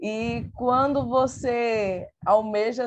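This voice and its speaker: A woman with a Pernambuco accent speaks with fairly even intonation. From Pernambuco, Brazil. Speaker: teacher and researcher. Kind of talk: online talk presentation.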